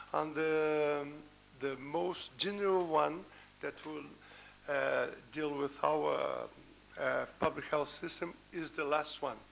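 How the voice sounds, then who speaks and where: Heard with audible room echo, a man with a non-native accent speaks at a very slow pace, leaving long, frequent pauses. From Brazil. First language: Portuguese. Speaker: professor. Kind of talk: conference talk. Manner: halting.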